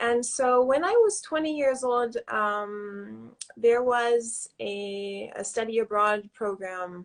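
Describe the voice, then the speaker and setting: A woman with an American accent speaks at a very slow pace and a fairly high pitch. She hardly pauses at all. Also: ordinary pitch variation, quiet background. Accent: slight French-tinged American. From US, Southern California. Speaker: author. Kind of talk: interview. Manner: hesitant, many fillers.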